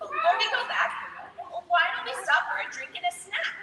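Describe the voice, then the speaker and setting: In a put-on character voice pitched extremely high, a woman speaks at a moderate pace with a clear echo. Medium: read story.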